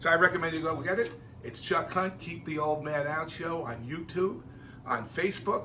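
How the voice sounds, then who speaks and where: In an American accent and an animated tone, the voice comes through with audible room echo and noticeable background noise. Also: man. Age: 60s. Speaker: video blogger and drummer. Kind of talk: casual vlog monologue. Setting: home music room.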